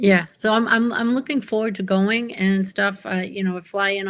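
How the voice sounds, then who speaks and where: A woman's unremarkable speaking voice at a moderate pace, with fairly even intonation, on a very clean recording with a silent background. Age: 60s. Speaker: pen enthusiast. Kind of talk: casual chat.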